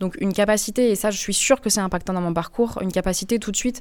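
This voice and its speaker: A woman's medium-pitched voice at a very fast pace, in a very clean recording with a silent background. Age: 30s. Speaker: environmental consulting engineer. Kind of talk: interview. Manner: lively.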